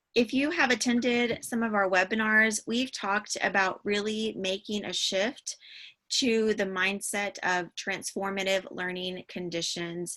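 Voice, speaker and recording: A woman's bright, sharp tone at medium pitch, fairly slow, with ordinary pitch variation and a quiet background. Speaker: digital learning consultant. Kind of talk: webinar presentation. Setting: online webinar. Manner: frequent filler words (um).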